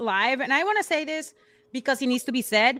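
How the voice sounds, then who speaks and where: This is a raised, projected voice with a bright, sharp tone. Its intonation is lively. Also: woman. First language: Spanish. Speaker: podcast co-host, pro wrestler. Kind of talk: casual chat. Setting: live stream. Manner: code-switching between English and Spanish; halting, searching for words.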